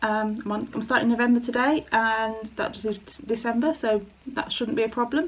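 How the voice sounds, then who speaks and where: Speaking with an English accent, this woman uses a fairly high pitch. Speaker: craft video creator. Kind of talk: casual chat. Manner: halting.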